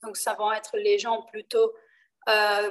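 At a fairly slow pace, a woman speaks with a Portuguese accent. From Brazil, Rio de Janeiro. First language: Portuguese (speaking French). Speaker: enneagram trainer. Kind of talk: interview explaining a topic. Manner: hesitant.

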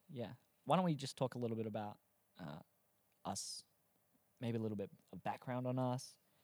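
A man with an Australian accent speaks at a fairly quick pace and a medium pitch, with lively intonation, long, frequent pauses, and a dry, close sound with no echo. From South Australia. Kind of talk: casual chat. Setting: studio. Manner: animated.

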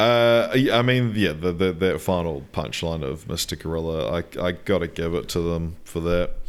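With a New Zealand accent, a man with a very deep, low pitch talks at a moderate pace with hardly any pauses and ordinary pitch variation. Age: 20s. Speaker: podcast host. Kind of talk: casual chat.

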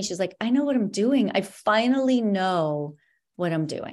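A woman speaks in an ordinary speaking voice at medium pitch, her intonation lively. The recording is very clean, with a silent background. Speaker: dietitian and wellness coach. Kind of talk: casual interview chat.

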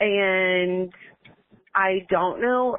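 In a Southern US accent, a woman talks at a medium pitch with ordinary pitch variation. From Alabama. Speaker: caller. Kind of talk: voicemail message.

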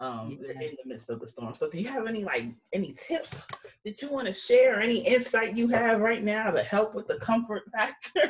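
A woman with an American accent talks at a fairly quick pace. Her loudness swings widely. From New York. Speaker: podcast host. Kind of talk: casual podcast conversation.

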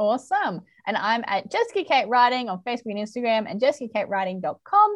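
Very fast speech comes with an Australian accent. The intonation is lively. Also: woman, fairly high pitch for a woman. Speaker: podcast host and romance author. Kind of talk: casual chat.

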